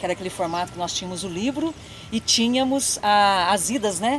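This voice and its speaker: A woman's medium-pitched voice moves fairly quickly, its pitch varying in an ordinary way, with noticeable noise behind it. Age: 30s. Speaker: education professor and course coordinator. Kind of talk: casual interview chat.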